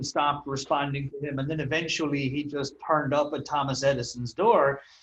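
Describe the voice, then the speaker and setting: This man speaks with an Irish accent. His pace is moderate. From Ireland. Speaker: copywriter and marketer. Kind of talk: interview. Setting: call.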